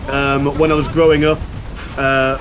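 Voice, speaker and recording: A man's fairly high pitch with fairly even intonation. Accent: Yorkshire. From Yorkshire, northern England. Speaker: YouTuber, gaming guest. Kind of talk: casual chat while gaming.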